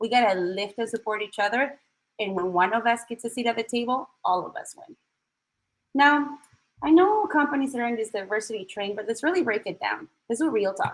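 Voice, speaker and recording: A woman's fairly quick, fairly high-pitched speech with a strong Chilean accent and lively intonation. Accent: thick Chilean Spanish. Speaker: tech recruiter and diversity speaker. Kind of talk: talk at an online event. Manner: direct.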